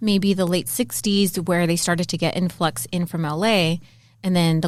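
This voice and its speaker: In an American accent, a woman with an unremarkable speaking voice and a fairly low pitch is heard on a very clean recording with a silent background. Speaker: podcast co-host. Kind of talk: casual chat.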